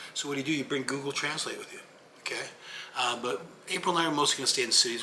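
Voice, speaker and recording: An American accent comes through at a very fast pace. Noticeable background noise sits behind it. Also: man. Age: 60s. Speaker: YouTuber on retiring abroad. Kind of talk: casual vlog talk. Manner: casual, conversational.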